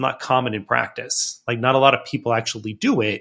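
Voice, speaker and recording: Speaking in a normal speaking voice, a man with a medium pitch keeps a moderate pace on a very clean recording with a silent background. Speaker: financial consultant. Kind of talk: casual chat.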